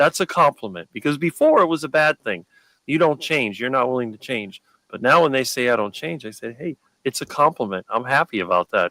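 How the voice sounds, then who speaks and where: Heard dry and close with no echo, a man at medium pitch speaks at a fairly quick pace with lively intonation, vocal fry and a bright, sharp tone. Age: 50s. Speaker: carnivore diet guest. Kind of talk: casual chat. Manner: fast.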